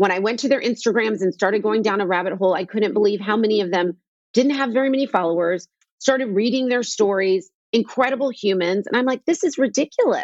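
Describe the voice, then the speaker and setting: Speaking at a very fast pace, a woman has a fairly high pitch and ordinary pitch variation. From US Northeast (New York / New Jersey). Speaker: skincare entrepreneur. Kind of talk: casual interview.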